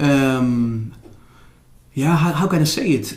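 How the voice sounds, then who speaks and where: A man with a Dutch accent and lively intonation, amid noticeable background noise and audible room echo. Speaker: former DJ and Zen teacher. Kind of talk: interview. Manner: halting.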